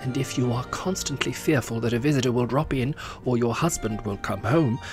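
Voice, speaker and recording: A man at a fairly quick pace with lively intonation, music in the background. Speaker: voice-over artist. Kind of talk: comic reading of a vintage instruction book. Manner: mock-formal, instructive.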